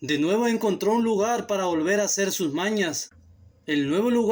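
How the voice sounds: The speaker uses a natural reading voice. Nothing else stands out in the delivery.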